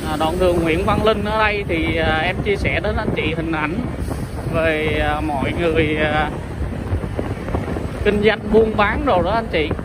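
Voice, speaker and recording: Loud background noise sits behind a dry sound with no echo. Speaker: travel vlogger. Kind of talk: casual vlog commentary. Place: motorbike.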